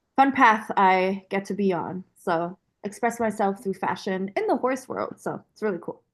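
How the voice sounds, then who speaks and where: Over a quiet background, a woman with a German accent speaks at a medium pitch and moderate pace with ordinary pitch variation. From Germany, then US from age twelve. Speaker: apparel brand owner. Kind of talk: podcast interview. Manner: casual, filler-heavy.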